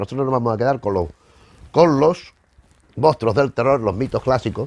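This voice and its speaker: A man speaks at a fairly quick pace. The sound is dry and close, with no echo. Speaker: film history youtuber. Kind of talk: casual lecture to camera. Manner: fast; halting, repeats words.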